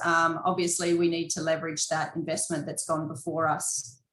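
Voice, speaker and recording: A woman with an Australian accent speaks quickly enough, at a fairly quick pace, her pitch fairly low. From Western Australia. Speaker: mining company executive. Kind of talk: investor presentation. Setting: video conference.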